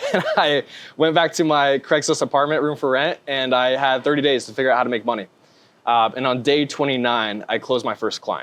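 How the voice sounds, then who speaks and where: This is an ordinary speaking voice: a man with an American accent, fairly high pitch, ordinary pitch variation and a fairly quick pace. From US West Coast, northern California. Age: 20s. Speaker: sales closer. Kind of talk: interview.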